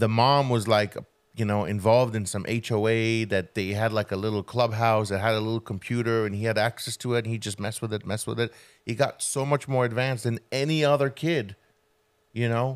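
Fairly quick delivery with fairly even intonation against a quiet background. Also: man, medium pitch for a man. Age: 40s. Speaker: podcast co-host. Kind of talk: casual chat. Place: studio. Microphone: studio mic.

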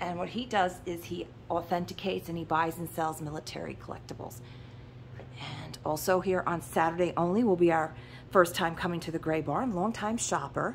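In an ordinary speaking voice, a woman talks at a fairly quick pace with a fairly low pitch and ordinary pitch variation over light background noise. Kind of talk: casual vlog chat. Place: shop. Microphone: phone near.

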